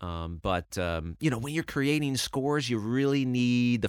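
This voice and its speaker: Over a very clean recording with a silent background, a man with a medium pitch speaks at a fairly slow pace with lively intonation in a plain, everyday voice. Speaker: video game composer. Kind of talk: interview.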